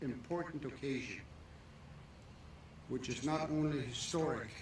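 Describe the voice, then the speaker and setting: Amid noticeable background noise and audible room echo, a man speaks at a moderate pace with fairly even intonation. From Canada, Métis. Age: 80s+. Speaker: elder and residential school survivor. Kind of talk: ceremonial speech.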